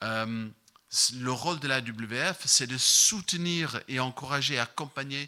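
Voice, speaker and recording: In a very clean recording with a silent background, a man with an English accent talks with lively intonation and a bright, sharp tone. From Ireland. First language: English (speaking French). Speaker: missions representative preaching. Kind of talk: sermon. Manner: halting, many fillers.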